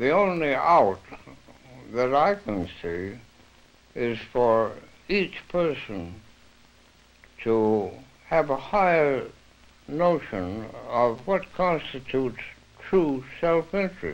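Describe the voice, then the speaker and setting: Very slowly, with long, frequent pauses, a man speaks in an American accent with very wide pitch swings. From United States. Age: 80s+. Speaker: author and interpretation theorist. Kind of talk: interview answer. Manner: hesitant, reflective. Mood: thoughtful, reflective. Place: home room. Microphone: old recording.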